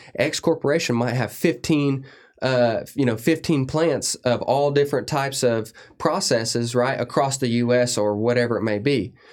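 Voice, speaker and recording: Speaking at medium pitch and a moderate pace, a man has an unremarkable speaking voice with ordinary pitch variation. His loudness stays very even, in a very clean recording with a silent background. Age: 30s. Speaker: industrial service technician and lubrication consultant. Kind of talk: casual interview.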